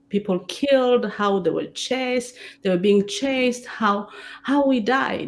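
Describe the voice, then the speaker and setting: A woman with a French accent speaks at a very slow pace. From Democratic Republic of Congo, Rwandan family. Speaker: theatre director and playwright. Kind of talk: interview on stage. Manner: halting, frequent repetitions.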